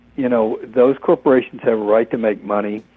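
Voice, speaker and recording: Monotone, flat intonation from a man with an American accent and medium pitch, against noticeable background noise. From Florida, Orlando. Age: 60s. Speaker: author and broadcasting historian. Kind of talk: interview. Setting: phone call. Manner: halting, many fillers.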